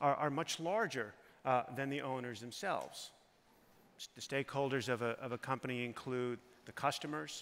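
The speaker is a man. He talks at a moderate pace. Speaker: panel moderator. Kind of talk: panel introduction. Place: stage. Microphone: headset.

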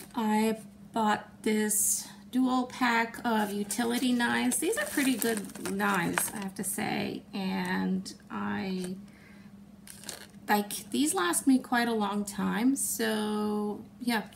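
Very slow speech from a woman over light background noise. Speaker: haul vlogger. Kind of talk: casual vlog chat. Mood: cheerful, relaxed. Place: home room. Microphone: phone near.

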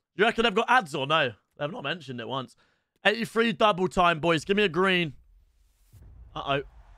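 With an English accent, a man talks at a fairly quick pace in a high, bright, sharp voice, with very wide pitch swings and long, frequent pauses, the sound dry with no echo and the background quiet. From England. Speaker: gaming streamer. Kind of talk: live stream commentary. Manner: quieter than usual to avoid waking dog. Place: home room. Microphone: studio mic.

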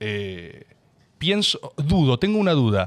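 With a porteño accent, a man speaks in very wide pitch swings. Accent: porteño rioplatense Spanish. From Buenos Aires, Argentina; Argentina. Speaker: podcast host. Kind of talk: casual interview chat. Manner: talkative. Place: studio. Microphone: studio mic.

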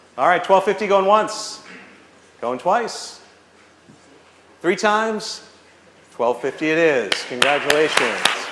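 Amid noticeable background noise, a man with a high pitch speaks very slowly in an upbeat tone with lively intonation, leaving long, frequent pauses. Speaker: auctioneer. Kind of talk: charity auction, live event. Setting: live event hall, PA system. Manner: upbeat, encouraging bid calling. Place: hall. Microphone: camera far.

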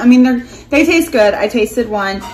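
Pitched fairly high, a woman's voice shows ordinary pitch variation.

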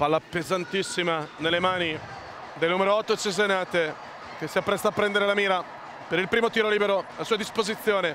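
In a raised, projected voice, the speaker moves at a fairly quick pace with fairly even intonation and long, frequent pauses, the sound dry with no echo amid noticeable background noise. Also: man, high pitch for a man. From Italy. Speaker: play-by-play basketball commentator; sports commentator. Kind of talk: live commentary. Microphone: headset.

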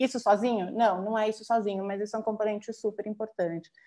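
Her fairly high voice has a dark, mellow tone as the woman talks at a fairly quick pace. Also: quiet background. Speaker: urban land policy consultant; presenter. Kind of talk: panel presentation. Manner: fast. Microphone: video call.

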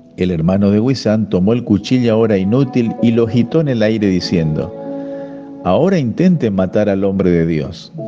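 The speech moves at a moderate pace with lively intonation. Music plays in the background. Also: man, fairly low pitch for a man. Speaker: voice-over narrator. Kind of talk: devotional reading.

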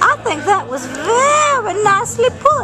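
Over loud background music, a woman speaks at a very slow pace. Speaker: puppet interviewer. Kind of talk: comic interview questions. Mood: playful, joking. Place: bar. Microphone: phone near.

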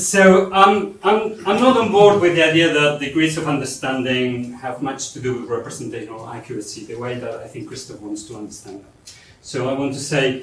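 There are big swings in loudness as a man talks at a fairly quick pace, with audible room echo. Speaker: presenter. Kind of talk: lecture. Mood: light, joking aside. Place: hall.

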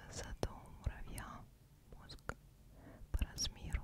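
Whispering at a very slow pace, a woman speaks in a soft-spoken manner. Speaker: ASMR creator. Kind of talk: ASMR whisper, bedtime facts. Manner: soft intimate whisper. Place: home room. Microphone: studio mic.

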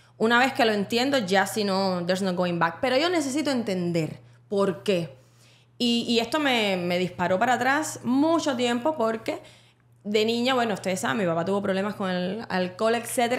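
A woman with a normal speaking voice talks at a fairly quick pace, her fairly high pitch carried by lively intonation. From Cuba. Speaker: podcast co-host. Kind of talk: casual chat.

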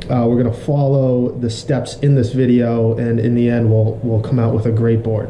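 At a moderate pace, a man talks amid light background noise and audible room echo. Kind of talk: tutorial. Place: workshop.

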